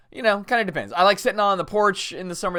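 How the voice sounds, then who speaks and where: A man speaks in an animated tone. His voice is bright and sharp. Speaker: evangelical pastor and podcast host. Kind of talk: casual podcast monologue. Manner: conversational, animated.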